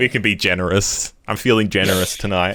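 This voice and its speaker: In a strained, put-on character voice, a man speaks very deep and low at a fairly quick pace. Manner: through gritted teeth, strained and tense.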